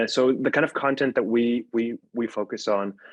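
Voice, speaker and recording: This man speaks with an Arabic accent and fairly even intonation. The sound is dry and close, with no echo. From Syria. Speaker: podcast network founder. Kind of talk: panel discussion. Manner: halting, many repeated words.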